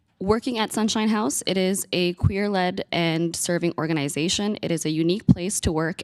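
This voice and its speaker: On a very clean recording with a silent background and a dry, close sound with no echo, a woman speaks at a fairly quick pace with ordinary pitch variation. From Manitoba, Canada. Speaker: community worker presenting to committee. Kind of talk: public testimony. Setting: legislative committee hearing.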